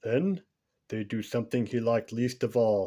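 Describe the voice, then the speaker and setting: Medium-pitched male speech on a very clean recording, the background silent. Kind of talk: bedtime story. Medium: read story.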